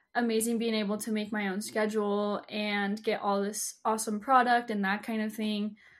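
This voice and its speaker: A woman's fairly high-pitched, an ordinary speaking voice at a moderate pace, on a very clean recording with a silent background. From Utah. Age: 20s. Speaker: social media influencer. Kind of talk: casual interview chat.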